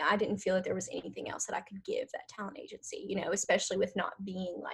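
A woman with a Southern US accent. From northern Louisiana, US. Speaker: artist manager and former actress. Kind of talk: interview.

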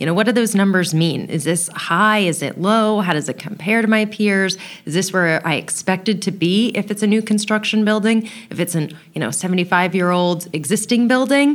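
Speaking fairly quickly, a woman uses an ordinary speaking voice, her pitch rising and falling with ordinary variation. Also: medium pitch for a woman. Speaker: building science trainer. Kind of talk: casual interview chat.

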